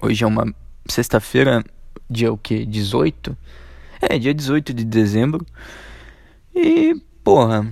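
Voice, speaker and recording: A man of medium pitch speaks at a very slow pace with long, frequent pauses and ordinary pitch variation. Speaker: podcast host. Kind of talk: casual monologue. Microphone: echo in room.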